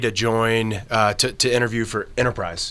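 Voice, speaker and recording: A man speaks at medium pitch in a bright, sharp tone. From Kentucky. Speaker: auto shop brand manager. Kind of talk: podcast interview.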